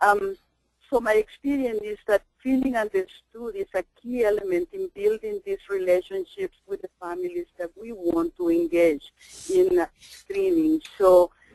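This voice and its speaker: Delivered at a fairly slow pace, the speech comes in a Spanish accent. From El Salvador. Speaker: parent educator and trainer. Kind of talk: webinar presentation. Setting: webinar.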